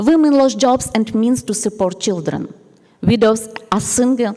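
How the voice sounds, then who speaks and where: Noticeable background noise runs under the speech. The pace is moderate, with ordinary pitch variation. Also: woman. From Ukraine. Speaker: nun. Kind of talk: conference talk. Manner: formal.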